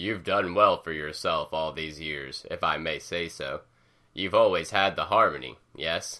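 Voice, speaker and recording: Using a put-on character voice, a man speaks at a moderate pace with a very deep, low pitch on a very clean recording with a silent background. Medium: read story. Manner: formal, slow, melancholy.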